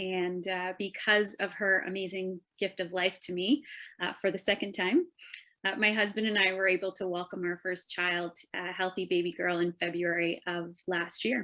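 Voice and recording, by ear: The voice has a bright, sharp tone, moves at a moderate pace and shows little pitch movement. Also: woman, fairly low pitch for a woman.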